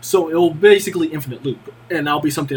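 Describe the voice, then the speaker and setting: The background carries noticeable noise. A man's voice comes through it. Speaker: student presenting classwork. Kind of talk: tutorial. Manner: fast; halting, many fillers.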